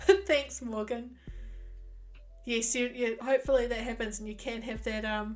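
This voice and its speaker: A woman with a New Zealand accent and a fairly high pitch at a moderate pace, long, frequent pauses, ordinary pitch variation and big swings in loudness, with music in the background. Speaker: gaming streamer. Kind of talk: casual chat.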